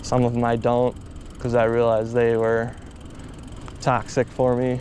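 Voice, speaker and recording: A moderate pace over noticeable background noise. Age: 20s. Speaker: vlogger. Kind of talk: casual vlog monologue. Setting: outdoors, riding a bike at night. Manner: casual, rambling conversational.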